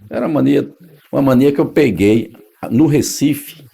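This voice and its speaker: This man's intonation is lively, and he keeps to a moderate pace. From Northeast Brazil, Paraíba (Patos, Campina Grande). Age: 60s. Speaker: radio announcer. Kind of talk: oral history interview.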